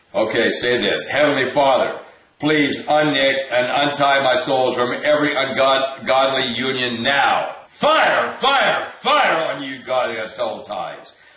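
In a room with audible echo, a man talks very slowly in an intense tone, his intonation fairly even and hardly any pauses between words. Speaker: deliverance minister leading viewers in prayer. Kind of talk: fervent prayer and commanding spiritual warfare, repeating commands; interactive deliverance session. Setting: online video. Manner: intense, insistent, forceful, repetitive. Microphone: webcam.

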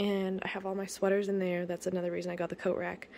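A woman talks at a very fast pace in a fairly low pitch, with vocal fry. Light background noise sits under her voice. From Canada. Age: 20s. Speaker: vlogger. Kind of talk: casual home tour vlog. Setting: at home. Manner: casual, chatty. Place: home room. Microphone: phone near.

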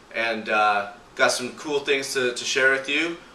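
A man's words come out fairly slowly. The room adds audible echo. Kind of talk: casual vlog chat. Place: home room. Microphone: camera far.

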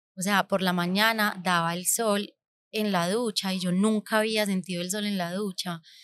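The woman's delivery is monotone and flat at a moderate pace, in a dry sound with no echo. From Colombia, Medellín (raised partly abroad). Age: 30s. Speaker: podcast host, entrepreneur; podcast host. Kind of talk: personal storytelling monologue. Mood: reflective, warm. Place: studio. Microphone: studio mic.

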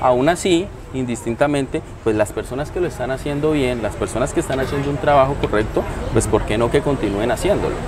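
A man's voice at a fairly quick pace, with ordinary pitch variation and noticeable background noise. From Colombia, Neiva (Huila); Colombia. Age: 30s. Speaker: political candidate; candidate. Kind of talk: interview. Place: cafe. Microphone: lapel.

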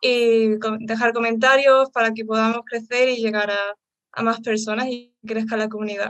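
At a fairly slow pace, a woman speaks with a bright, sharp tone and fairly high pitch. The sound is dry with no echo, over a quiet background. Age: 20s. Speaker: co-host; interview co-host. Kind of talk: host introduction; interview introduction. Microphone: headset.

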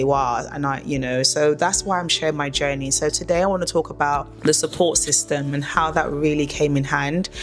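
Faint music plays behind a woman whose voice is very deep and low. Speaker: vlogger sharing personal story. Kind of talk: personal testimony vlog. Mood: earnest, reflective. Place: home room.

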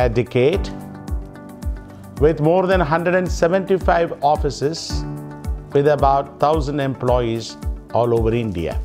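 This man talks at a fairly slow pace. Clear music can be heard behind him. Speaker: company executive. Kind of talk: corporate announcement speech. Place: office.

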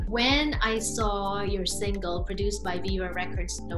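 Clear music sounds behind a woman who talks at a moderate speed. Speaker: talk show host. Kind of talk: interview questions. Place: home room. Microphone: webcam.

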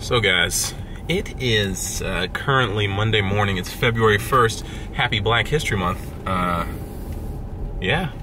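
Against noticeable background noise, a man talks at a very slow pace with ordinary pitch variation and long, frequent pauses. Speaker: vlogger. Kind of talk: casual vlog chat. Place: car. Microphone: phone near.

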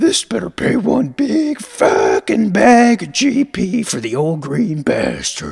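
Using a put-on character voice, the speaker talks at a very slow pace with a fairly high pitch. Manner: grouchy, profane, complaining.

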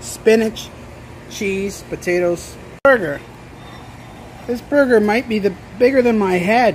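Light background noise sits behind a man with a high voice. He talks at a very slow pace with ordinary pitch variation. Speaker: food reviewer vlogger. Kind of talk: casual vlog chat. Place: cafe. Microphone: phone near.

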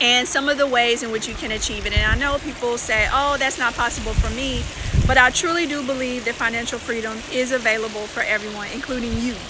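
Over noticeable background noise, a woman with a high pitch talks with ordinary pitch variation, the sound dry with no echo. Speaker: personal finance vlogger. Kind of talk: casual live stream chat. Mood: cheerful, relaxed. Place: beach. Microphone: phone near.

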